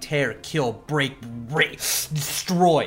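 Shouting and growling, the speaker uses a put-on character voice. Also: man, fairly high pitch for a man. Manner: horrifically shouting.

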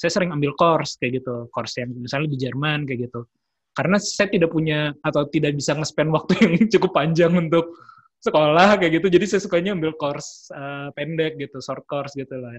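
Here a man talks at a fairly quick pace in a somewhat breathy voice. His fairly high pitch shows ordinary variation. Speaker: podcast host. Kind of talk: casual interview. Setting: video call.

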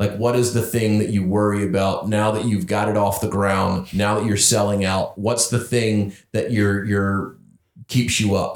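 At a fairly slow pace and very even loudness, a man with an American accent speaks in a normal speaking voice, fairly low-pitched with fairly even intonation. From North Carolina, US South. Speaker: podcast host. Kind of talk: casual interview chat. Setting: in-person recording in home studio.

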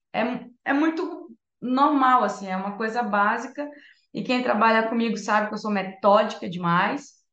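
Someone speaks at a moderate pace with audible room echo. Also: woman, fairly high pitch for a woman, ordinary pitch variation. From northern Brazil, Santarém, Pará. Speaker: music therapist and entrepreneur. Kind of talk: casual chat.

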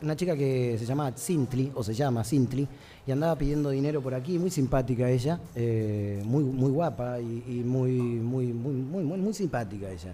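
This man has a medium-pitched voice with ordinary pitch variation and speaks at a fairly slow pace. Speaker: singer-songwriter. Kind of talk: interview. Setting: recorded in a bar.

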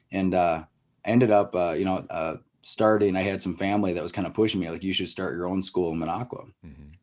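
Very fast speech from a man with an Upper Midwest accent, a very deep, low pitch, and fairly even intonation. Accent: Upper Midwest American. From northern Wisconsin. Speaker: martial arts school owner. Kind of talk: casual interview.

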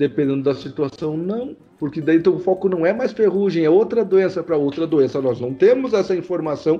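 Here is a man with an unremarkable speaking voice and a fairly high pitch. His lively intonation comes at a fairly quick pace. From Santa Catarina west, Brazil. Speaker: agronomist, consultant and professor. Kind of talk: casual podcast interview.

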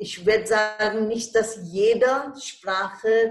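Very slow speech in a Bengali accent. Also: woman. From India. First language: Bengali (speaking German). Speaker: retired German teacher. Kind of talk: interview.

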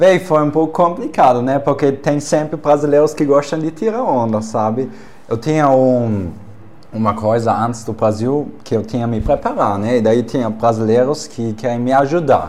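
A man with a non-native accent, medium pitch, ordinary pitch variation and a moderate pace. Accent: foreign accent in Portuguese. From Germany. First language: German (speaking Portuguese). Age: 20s. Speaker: exchange student and Instagram personality. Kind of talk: casual chat.

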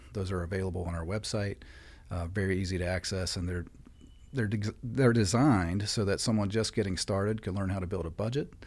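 Somewhat breathy and fairly low in pitch, a man with an American accent talks at a fairly quick pace. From West Virginia. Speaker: credit union CEO. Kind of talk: podcast interview.

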